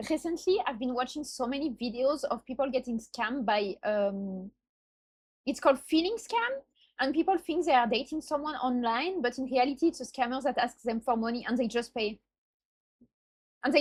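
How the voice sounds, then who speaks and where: A high-pitched woman's voice in a strong non-native accent, with lively intonation and a fairly quick pace. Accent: self-described strong non-native. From France. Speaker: streamer reacting to videos. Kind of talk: casual reaction commentary. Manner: halting, self-correcting.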